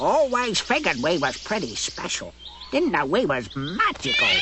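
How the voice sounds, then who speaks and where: A cartoonish character voice speaks at a fairly high pitch and a moderate pace. Loud background noise runs underneath. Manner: rustic, ungrammatical.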